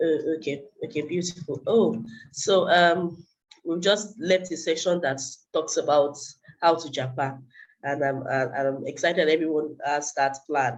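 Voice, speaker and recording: Here a woman speaks in a very deep, low pitch. Her pitch variation is ordinary. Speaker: personal finance speaker. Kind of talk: webinar presentation. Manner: hesitant, many fillers.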